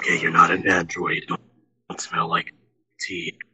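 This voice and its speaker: Putting on a character voice, a man sounds raspy. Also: fairly slow pace. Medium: machinima. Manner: formal, wary, melancholy; earnest, matter-of-fact explaining.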